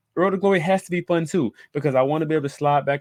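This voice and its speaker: Animated in tone, a man speaks very fast with ordinary pitch variation, the sound dry and close with no echo against a quiet background. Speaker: podcast host. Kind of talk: solo podcast talk.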